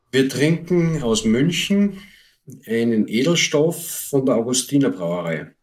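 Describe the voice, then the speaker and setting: The speaker's pitch swings very widely. The delivery comes at a very slow pace. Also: man, fairly high pitch for a man. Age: 50s. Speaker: homebrewer and beer association board member. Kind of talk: casual chat.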